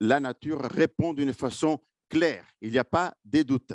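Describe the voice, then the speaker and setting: This man has a slight Italian accent and talks at a very slow pace. The sound is dry and close with no echo, against a quiet background. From Italy. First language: Italian (speaking French). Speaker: marine scientist. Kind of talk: conference presentation. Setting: conference with live and online audience. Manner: hesitant, many fillers.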